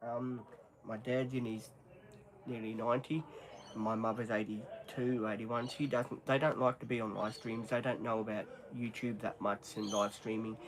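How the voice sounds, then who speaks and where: A man at medium pitch, moderate pace and fairly even intonation. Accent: Australian. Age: 50s. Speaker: live streamer. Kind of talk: casual chat. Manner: halting.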